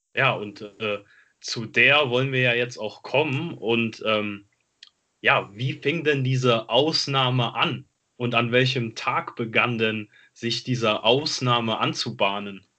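The voice moves at a very slow pace with fairly even intonation and a bright, sharp tone. The background is quiet. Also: man, medium pitch for a man. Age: 20s. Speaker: football podcast host. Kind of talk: casual chat.

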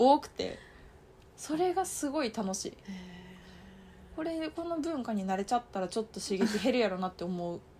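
A woman with a Kansai accent speaks with very wide pitch swings and long, frequent pauses. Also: fairly high pitch for a woman. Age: 30s. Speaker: podcast co-host. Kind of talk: casual chat. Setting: at home, sleepover recording. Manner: fast; animated.

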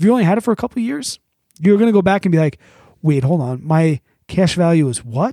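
A man with a high-pitched yet dark, mellow tone talks at a very fast pace, his pitch swinging very widely. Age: 30s. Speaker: podcast co-host, former brewery owner. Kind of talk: casual chat. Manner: animated.

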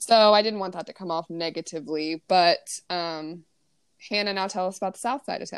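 A woman in a normal speaking voice talks at a moderate pace and medium pitch, her loudness swinging widely in a very clean recording with a silent background. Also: ordinary pitch variation. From US, Ozark Mountains. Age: 20s. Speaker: podcast co-host, teacher. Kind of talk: casual chat.

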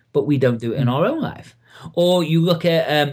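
A man with an English accent speaks at a moderate pace. His pitch is fairly high and his intonation lively. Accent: English accent, noticed by host. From Liverpool, England. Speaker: NLP coach and trainer. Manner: friendly, casual.

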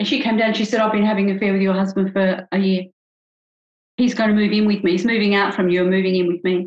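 Speaking very fast with an Australian accent, a woman keeps a monotone, flat intonation and very even loudness. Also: medium pitch for a woman. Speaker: couples psychologist. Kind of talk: interview.

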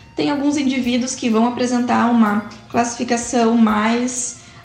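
With a fairly high pitch, a woman speaks at a fairly slow pace and fairly even intonation, amid noticeable background noise. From southern Brazil, Porto Alegre. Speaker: physiotherapist and researcher. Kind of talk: lecture.

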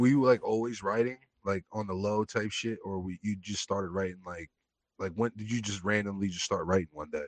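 Against a quiet background, a man with a normal speaking voice talks at a fairly quick pace and a fairly low pitch, his intonation fairly even and the sound dry and close with no echo. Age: 20s. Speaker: podcast host. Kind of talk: casual chat.

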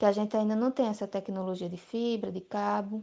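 Speaking at a moderate pace against a quiet background, a woman has a fairly high pitch and a dark, mellow tone. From Brazil, Alagoas (Arapiraca). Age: 20s. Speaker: family farmer and rural union youth secretary. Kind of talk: interview.

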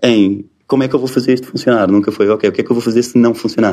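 Pitched at a medium level, a man's delivery is an ordinary speaking voice. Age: 40s. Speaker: tech company co-founder. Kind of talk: interview. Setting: company office.

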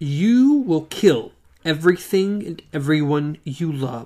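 Fairly slow, middle-pitched, put-on character voice. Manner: cruel, hard.

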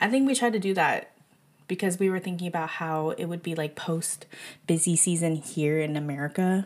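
Over a silent background in a very clean recording, a woman speaks at a fairly low pitch with ordinary pitch variation. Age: 20s. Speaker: podcast host. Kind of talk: casual monologue. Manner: halting.

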